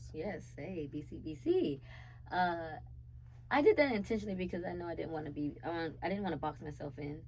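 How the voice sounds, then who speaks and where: A woman speaks in an animated tone at a fairly quick pace, her loudness swinging widely. Room echo can be heard around her voice. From South Carolina, Charleston. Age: 20s. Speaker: city council candidate and dancer. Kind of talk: interview.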